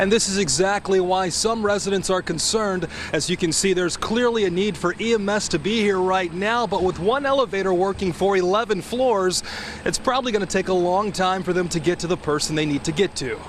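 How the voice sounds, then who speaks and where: A man's high-pitched voice at very even loudness, with noticeable background noise. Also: ordinary pitch variation, fairly quick pace. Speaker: television news reporter. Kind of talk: TV news reporter stand-up and package narration.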